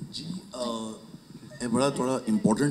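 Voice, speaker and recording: Noticeable background noise behind a man's medium-pitched voice. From Punjab, India. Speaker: film producer. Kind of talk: press conference answers.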